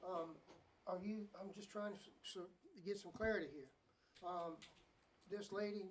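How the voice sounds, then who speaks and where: With an American accent, a woman at a medium pitch talks at a fairly slow pace with fairly even intonation and long, frequent pauses, and audible room echo is present. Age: 60s. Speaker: town council member. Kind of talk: council meeting discussion. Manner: halting.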